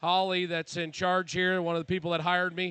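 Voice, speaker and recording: This man speaks with an American accent. His voice sits high in pitch. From central Missouri. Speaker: livestock show judge. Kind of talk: closing remarks at livestock show. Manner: halting, many fillers.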